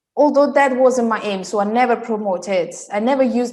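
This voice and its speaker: A woman speaks with an Italian accent. Her pace is moderate and her pitch variation ordinary. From Italy. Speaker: style coach. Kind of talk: interview.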